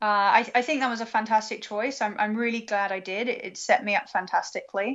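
Fairly high in pitch, a woman talks with a British accent. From UK. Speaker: planetary science graduate student. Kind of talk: interview.

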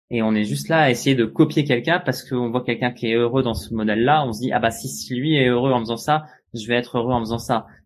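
The man's pitch is medium, with ordinary variation. He speaks very fast. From France. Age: 30s. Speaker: sailor. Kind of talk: interview. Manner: halting.

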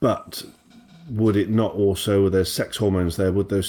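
A man with a British accent and a fairly low pitch, on a very clean recording with a silent background. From Britain. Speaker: podcast co-host. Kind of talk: casual chat.

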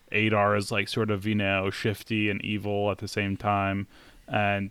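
The recording is very clean, with a silent background. A man speaks at a fairly low pitch and a moderate pace. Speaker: podcast co-host. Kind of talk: casual chat.

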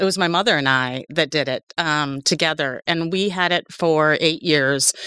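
At a fairly slow pace, a woman speaks with a very deep, low pitch, ordinary pitch variation and a bright, sharp tone, in a dry, close sound with no echo. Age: 60s. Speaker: sales software entrepreneur. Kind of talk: casual chat. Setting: studio.

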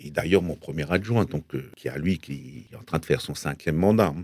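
The man's pitch is very deep and low, and he talks at a moderate pace. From Alsace, France. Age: 50s. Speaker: village mayor. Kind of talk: radio interview. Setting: radio studio. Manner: halting, many repetitions and fillers.

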